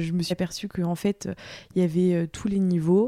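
A woman's fairly low, dark and mellow voice at a fairly slow pace. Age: 20s. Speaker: sportswear brand founder. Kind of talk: personal testimony interview. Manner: hesitant, many fillers and repetitions.

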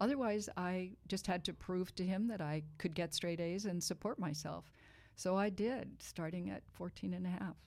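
A woman with an American accent has an unremarkable speaking voice, medium in pitch, with ordinary pitch variation and a moderate pace. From Boston, US. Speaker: wine writer and author. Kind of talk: casual interview chat.

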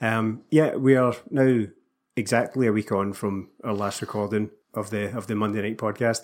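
A man speaks at a moderate pace in a Scottish accent, his medium-pitched voice keeping a fairly even intonation. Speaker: Celtic podcast co-host. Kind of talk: casual chat about football.

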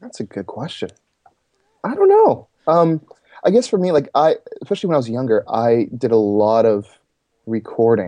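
A man with a Canadian accent at a moderate pace, with long, frequent pauses. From Toronto area, Canada. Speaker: singer-songwriter and church arts pastor. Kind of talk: interview.

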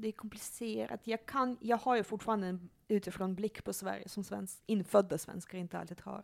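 In a normal speaking voice, a woman of medium pitch talks at a moderate pace. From Russia (Leningrad), moved to Sweden young. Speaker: psychologist and sexologist. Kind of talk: casual chat. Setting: at her home.

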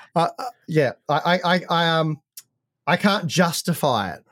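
A high-pitched man with an Australian accent, dry, close sound with no echo, very clean recording and silent background. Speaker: tech podcast co-host. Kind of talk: casual chat. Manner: halting, many repetitions.

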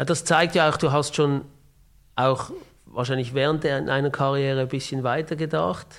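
With fairly even intonation, a man talks in a plain, everyday voice at a moderate pace and a fairly high pitch. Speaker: podcast host. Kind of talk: interview.

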